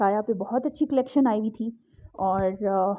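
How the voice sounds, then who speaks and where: A woman speaks in a fairly high, shaky voice. Her intonation stays fairly even. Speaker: vlogger. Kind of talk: vlog voice-over narration. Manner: shivering, trembling voice; casual chatty.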